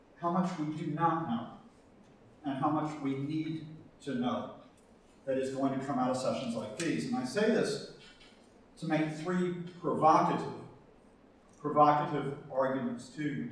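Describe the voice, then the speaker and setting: At a moderate pace, a man with a fairly high pitch and ordinary pitch variation talks with long, frequent pauses, amid noticeable background noise and audible room echo. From US South. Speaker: professor and conference panelist. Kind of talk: conference talk. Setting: conference hall with audience.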